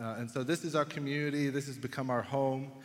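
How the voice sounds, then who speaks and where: A man talks at a moderate pace with a fairly high-pitched voice. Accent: Texan. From Texas, Dallas area. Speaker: pastor. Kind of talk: sermon. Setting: church.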